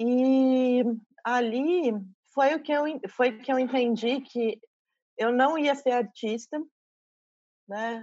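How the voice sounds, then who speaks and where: With a dark, mellow tone and a high pitch, a woman speaks at a very slow pace, leaving long, frequent pauses. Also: fairly even intonation. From interior of São Paulo state, Brazil (São José dos Campos). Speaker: curator and university professor. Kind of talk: interview.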